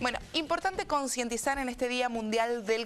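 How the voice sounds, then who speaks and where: High-pitched and lively in intonation, a woman talks at a moderate pace. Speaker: radio and TV host, speech therapist. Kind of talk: interview questions.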